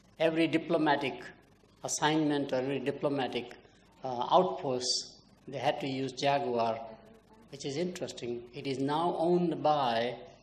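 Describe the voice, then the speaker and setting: Pitched fairly high, a man speaks with ordinary pitch variation. There is audible room echo. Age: 80s+. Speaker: marketing professor. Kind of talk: keynote lecture.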